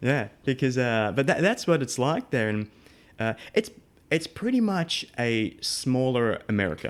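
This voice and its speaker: With an Australian accent, a man speaks at a medium pitch and a fairly slow pace with lively intonation. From Australia, Melbourne. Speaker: audio engineer. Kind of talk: interview.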